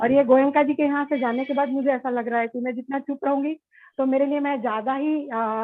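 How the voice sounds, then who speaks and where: A high-pitched woman's voice with ordinary pitch variation. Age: 60s. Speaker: workshop participant, runs a fashion institute. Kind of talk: self-introduction in a workshop. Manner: hesitant, with fillers.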